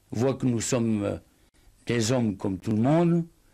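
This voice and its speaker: A man with a dark, mellow tone speaks at a very slow pace. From French Ardennes. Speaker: writer. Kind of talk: interview answer.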